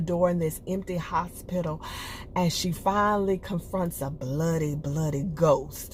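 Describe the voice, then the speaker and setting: Relaxed and somewhat breathy, a woman speaks at a fairly low pitch with fairly even intonation. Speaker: TV show reviewer. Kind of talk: casual review monologue. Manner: conversational, relaxed.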